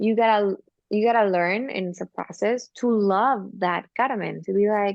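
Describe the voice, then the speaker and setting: Using fairly even intonation and a medium pitch, a woman with a non-native accent speaks at a moderate pace. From Argentina, small town. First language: Spanish. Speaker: singer and actress. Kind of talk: casual interview chat.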